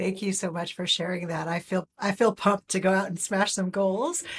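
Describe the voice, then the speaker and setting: A woman with an American accent speaks at a moderate pace, her medium pitch somewhat breathy. Her intonation stays fairly even, and the sound is dry and close with no echo. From US, New York City. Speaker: podcast host. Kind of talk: interview.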